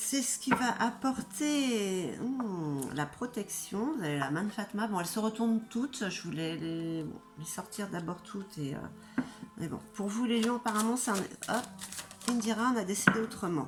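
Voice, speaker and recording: Over music in the background, a woman speaks at a fairly slow pace with lively intonation. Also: fairly high pitch for a woman. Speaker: tarot reader. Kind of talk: tarot reading video. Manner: casual, chatty.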